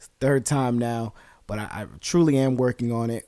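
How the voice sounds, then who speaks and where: Speaking with an American accent, the man keeps a medium pitch. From New Jersey. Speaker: podcast host. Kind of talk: casual podcast monologue. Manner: fast; filler-heavy.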